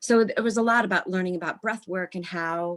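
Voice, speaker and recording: A woman with an American accent and fairly even intonation, in a very clean recording with a silent background. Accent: slight Midwest, mostly trained out. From US Midwest. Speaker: actress. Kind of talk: interview.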